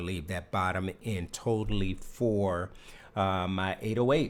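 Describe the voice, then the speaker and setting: A man speaks at a fairly slow pace with a fairly low pitch and ordinary pitch variation. He has a normal speaking voice. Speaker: music composer and producer. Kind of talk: tutorial. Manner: casual, filler-heavy.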